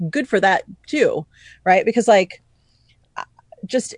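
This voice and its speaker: A woman with an American accent speaks at a moderate pace and a fairly high pitch, her voice dry and close with no echo over a quiet background. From US Northeast (New York City). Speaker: business communication coach. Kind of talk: casual interview chat.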